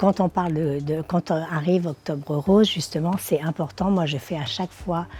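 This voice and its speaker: A woman speaks fairly slowly at a fairly low pitch, her tone dark, mellow and somewhat breathy. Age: 60s. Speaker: social media influencer and model. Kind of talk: awareness testimony to camera. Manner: hesitant, many fillers.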